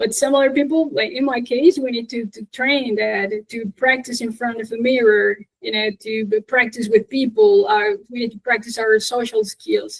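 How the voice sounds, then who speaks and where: A woman with a Spanish accent, ordinary pitch variation and big swings in loudness. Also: fairly high pitch for a woman, moderate pace. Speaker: English teacher, conference speaker. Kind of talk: Q&A after a conference talk.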